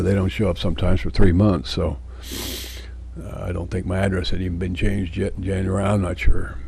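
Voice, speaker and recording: Someone speaks at a fairly quick pace with ordinary pitch variation, with audible room echo and noticeable background noise. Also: man. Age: 70s. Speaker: video diarist. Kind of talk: personal video journal monologue. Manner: rambling, hesitant with fillers.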